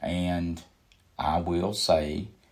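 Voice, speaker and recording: With a Southern US accent, a man speaks in a very deep, low, somewhat breathy voice with fairly even intonation. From Kannapolis, North Carolina (US South). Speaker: pastor. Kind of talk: sermon.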